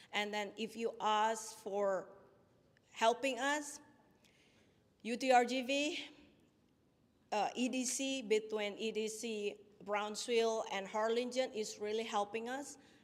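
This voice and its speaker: With a non-native accent, a woman speaks at a very slow pace in a fairly high voice, with fairly even intonation and long, frequent pauses. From Indonesia. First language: not English. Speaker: small business owner. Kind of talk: pitch presentation with Q&A. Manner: halting.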